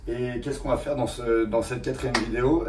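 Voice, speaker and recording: The voice is somewhat breathy with lively intonation, and audible room echo surrounds it. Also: man. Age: 30s. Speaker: car restoration YouTuber. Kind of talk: casual vlog talk. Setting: rented garage. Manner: hesitant, many fillers.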